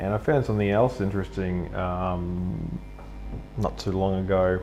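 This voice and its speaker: Here a man speaks with an Australian accent at a moderate pace. His pitch is very deep and low. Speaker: live streamer. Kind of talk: casual monologue during live drawing stream. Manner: hesitant, many fillers.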